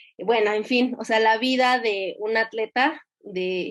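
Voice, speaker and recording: A woman speaks in a fairly high voice. Her pitch varies in an ordinary way. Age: 20s. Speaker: competitive swimmer. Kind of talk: interview testimony. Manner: halting.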